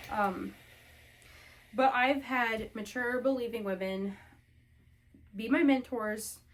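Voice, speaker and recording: A woman is talking. Pitch moves up and down in an ordinary way. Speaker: homemaking vlogger. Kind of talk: casual chat while ironing.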